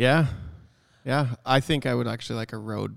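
With a Canadian accent and some vocal fry, a man speaks at a medium pitch and a moderate pace. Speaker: photography business owner and podcast co-host. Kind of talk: casual chat. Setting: photography studio.

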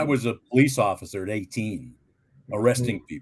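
Vocal fry runs through a man's medium-pitched voice. His intonation is lively and his pace moderate. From Plymouth, Devon, England. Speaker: actor and producer. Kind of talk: casual interview. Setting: video call.

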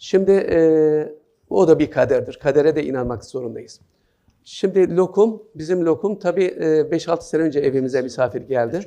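A man's high-pitched, dark and mellow voice with ordinary pitch variation. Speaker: writer and journalist giving a talk. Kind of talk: lecture. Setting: hall with student audience. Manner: hesitant with many fillers.

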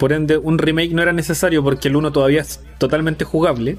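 Speech comes at a fairly quick pace against noticeable background noise. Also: man. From Chile. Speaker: podcast host. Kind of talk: casual chat. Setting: live stream.

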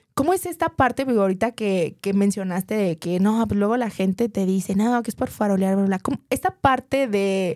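A woman's ordinary speaking voice at medium pitch, fairly quick with hardly any pauses and ordinary pitch variation, in a dry, close, very clean recording with no echo and a silent background. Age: 30s. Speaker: podcast host and business consultant. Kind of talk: interview.

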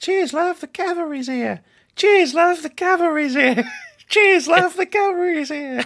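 An extremely high-pitched put-on character voice in a British accent moves along at a moderate pace. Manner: upbeat, chirpy.

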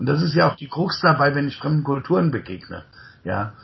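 Here is a man with a medium pitch and lively intonation. Vocal fry runs through his voice. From Germany, Rhine-Main area near Mainz. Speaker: podcast host and coach. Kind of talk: conversational interview. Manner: frequent fillers and tag ja.

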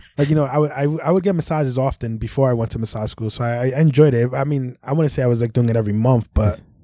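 Speaking very fast with hardly any pauses, a man with a New York accent has a dark, mellow tone, a medium pitch and ordinary pitch variation. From New York City (Brooklyn, Bronx). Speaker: massage therapist. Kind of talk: casual chat.

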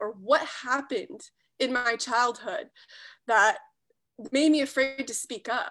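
A woman speaks in a high, bright, sharp voice with ordinary pitch variation. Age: 30s. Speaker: personal development coach. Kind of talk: interview. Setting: live stream.

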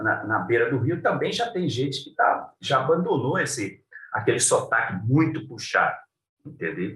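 A man's intonation is lively as he talks fairly slowly. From Cuiabá, Mato Grosso, Brazil. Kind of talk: interview. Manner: halting.

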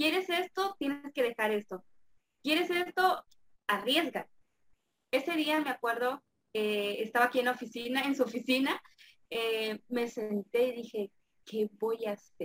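A high-pitched woman with lively intonation and long, frequent pauses, in a dry, close sound with no echo. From Mexico, Campeche. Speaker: affiliate marketer. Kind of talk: interview.

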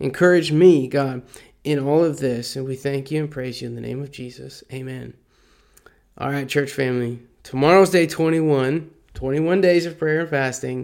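A normal speaking voice at a moderate pace, with big swings in loudness and fairly even intonation. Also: man, fairly high pitch for a man. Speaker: church leader leading prayer and scripture reading. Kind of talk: fervent prayer, earnest and heartfelt, addressed to God. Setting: recorded devotional message to congregation. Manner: earnest, pleading; casual, conversational, warm.

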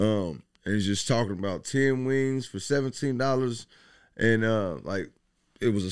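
A plain, everyday voice with an American accent, at a moderate pace with lively intonation, in a very clean recording with a silent background. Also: man. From Dayton, Ohio (Westwood). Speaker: chef and rapper. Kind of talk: casual interview. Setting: studio.

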